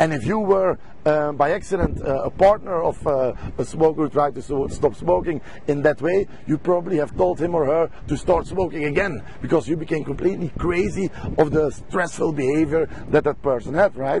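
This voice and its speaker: Noticeable background noise runs behind a man speaking at a fairly quick pace. He has a fairly high pitch, ordinary pitch variation and a Belgian accent. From Belgium. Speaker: stop smoking coach. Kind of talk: sales pitch. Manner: halting.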